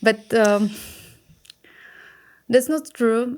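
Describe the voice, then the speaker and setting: A woman with a Czech accent speaks at a very slow pace with ordinary pitch variation, in a very clean recording over a silent background. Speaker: skin health activist. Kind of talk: podcast interview. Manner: halting.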